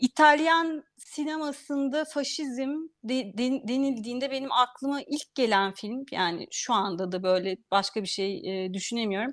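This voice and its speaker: Lively in intonation, a woman speaks in a high pitch at a fairly slow pace with hardly any pauses. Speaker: food writer and journalist. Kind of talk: interview.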